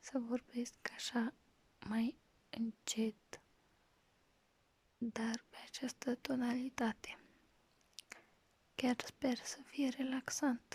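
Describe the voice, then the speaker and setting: A soft-spoken voice with big swings in loudness and a flat, monotone delivery comes through dry and close with no echo, moving at a very slow pace broken by long, frequent pauses. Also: woman, high pitch for a woman. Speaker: ASMR creator. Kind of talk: casual talk to camera. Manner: soft-spoken, slowed-down, relaxing.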